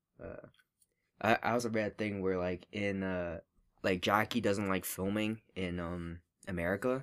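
With a plain, everyday voice, a man speaks at a moderate pace, fairly low in pitch and with fairly even intonation. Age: 20s. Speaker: podcast co-host. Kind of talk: casual chat.

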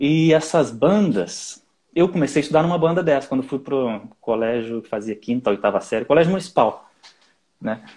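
In an ordinary speaking voice, a man with fairly high pitch talks at a moderate pace with lively intonation. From Brazil, Nova Friburgo (Rio de Janeiro state). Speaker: orchestral flutist. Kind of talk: casual interview.

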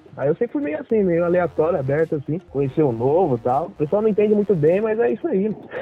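Over noticeable background noise, a man talks at a very fast pace with hardly any pauses. His voice is high-pitched with very wide pitch swings. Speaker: traveler. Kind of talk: casual chat. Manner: animated, laughing often.

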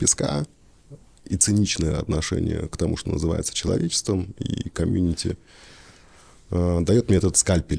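Dark, mellow tone in a man's voice. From Russian Far East. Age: 40s. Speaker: theatre director. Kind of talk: casual chat.

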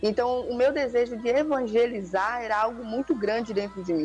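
With music playing behind, the voice moves fairly quickly and its pitch varies in an ordinary way. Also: woman. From interior of Bahia, Brazil. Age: 20s. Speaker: missionary. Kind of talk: testimony.

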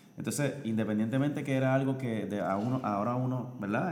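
A man's moderately paced speech, with ordinary pitch variation, carries audible room echo. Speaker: podcast guest, host's husband. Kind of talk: casual chat. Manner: halting.

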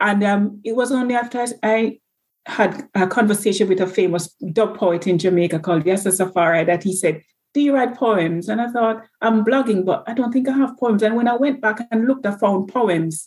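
A woman's normal speaking voice, fairly high in pitch, with ordinary pitch variation, very even loudness and a moderate pace. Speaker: nurse. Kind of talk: casual interview.

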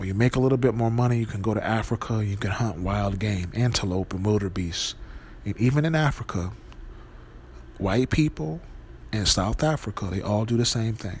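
In a plain, everyday voice, a man with an American accent speaks at a fairly quick pace with ordinary pitch variation. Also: fairly low pitch for a man. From Wisconsin. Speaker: podcast host. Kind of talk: monologue.

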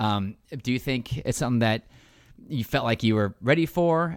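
A man at medium pitch speaks at a fairly quick pace with ordinary pitch variation, recorded very cleanly against a silent background. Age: 40s. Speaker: podcast co-host interviewer. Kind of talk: casual interview chat.

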